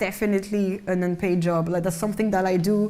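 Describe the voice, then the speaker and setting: A woman with a French accent speaks in a dark, mellow tone, with audible room echo. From France, Malian-French heritage. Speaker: singer and actress. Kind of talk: interview in lecture series. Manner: hesitant, with false starts.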